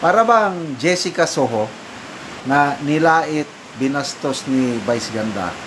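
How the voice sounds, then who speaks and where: The speech goes at a fairly slow pace over noticeable background noise. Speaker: showbiz news commentator. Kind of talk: casual news commentary. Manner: loud.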